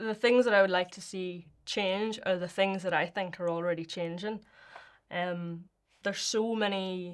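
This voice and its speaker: A woman with a Northern Irish accent speaks with fairly even intonation, though her loudness swings widely. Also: medium pitch for a woman, fairly slow pace. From Northern Ireland. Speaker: poet and performer. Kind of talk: interview answer.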